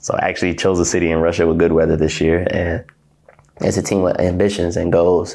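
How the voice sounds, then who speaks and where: A man with an American accent talks at a fairly quick pace in a very deep, low pitch. His intonation is fairly even, and the background is quiet. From Ohio, US. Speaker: professional basketball player. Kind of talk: interview. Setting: hotel apartment. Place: office. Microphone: lapel.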